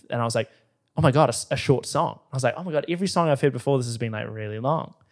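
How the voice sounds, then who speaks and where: Talking at a very fast pace, a man speaks in a New Zealand accent. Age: 20s. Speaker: podcast host. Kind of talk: casual chat.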